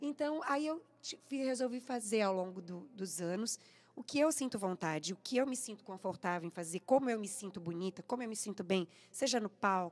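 The woman's intonation sounds lively. She speaks at a moderate pace. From interior of São Paulo state, Brazil. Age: 40s. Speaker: singer; guest. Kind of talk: radio interview. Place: studio. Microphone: studio mic.

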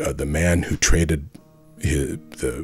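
With music playing behind him, a man speaks at a fairly slow pace in a very deep, low voice. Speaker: author. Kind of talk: comedic parody trailer narration.

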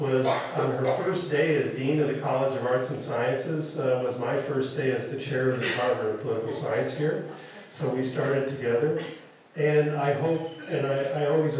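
In a space with strong room echo and light background noise, a man talks at a moderate pace. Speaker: university official introducing lecture. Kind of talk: introductory speech. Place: hall.

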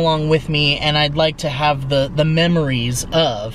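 With ordinary pitch variation, a man speaks over light background noise in a dry recording with no echo. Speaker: travel vlogger. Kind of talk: casual vlog chat. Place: car. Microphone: phone near.

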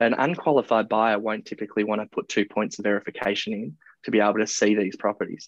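Talking at a very fast pace, a man with an Australian accent comes across in a dry sound with no echo against a quiet background. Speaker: property marketplace founder. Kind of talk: interview. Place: office. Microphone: earbuds.

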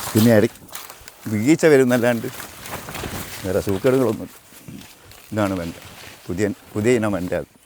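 Over noticeable background noise, a man speaks at a medium pitch with ordinary pitch variation and big swings in loudness. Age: 70s. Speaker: farmer. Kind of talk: interview.

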